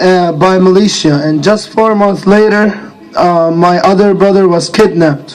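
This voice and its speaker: A man with an Arabic accent speaks at a fairly slow pace, with a high pitch and fairly even intonation. Audible room echo and noticeable background noise fill the recording. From Iraq. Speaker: graduating student speaker. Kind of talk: graduation speech. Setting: outdoor stadium ceremony. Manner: hesitant, many fillers.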